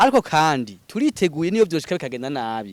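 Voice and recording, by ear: Speaking at a very fast pace, a man with a fairly high pitch makes big pitch swings.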